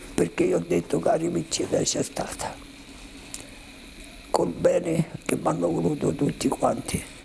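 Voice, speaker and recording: This speaker talks at a fairly slow pace with a Roman accent, very even loudness, and long, frequent pauses. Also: man. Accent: Roman Italian. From Rome, Italy. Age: 80s+. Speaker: Holocaust survivor. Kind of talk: testimony.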